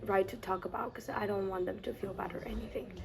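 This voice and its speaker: A woman speaks with a Mexican accent at a medium pitch. There is noticeable background noise behind her. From Mexico, Tijuana. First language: Spanish. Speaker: college student. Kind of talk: interview. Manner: halting, with restarts.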